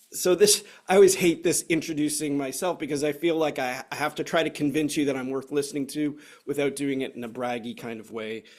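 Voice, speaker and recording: A man with a Canadian accent has a fairly high pitch and ordinary pitch variation. His is a plain, everyday voice at a moderate pace. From Canada. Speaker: software consultant, former navy officer. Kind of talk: webinar presentation.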